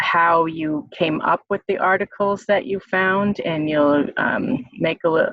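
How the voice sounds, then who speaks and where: At a very slow pace, a woman speaks in a fairly low pitch with fairly even intonation. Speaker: nursing professor. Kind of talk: online class meeting. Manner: halting, many fillers.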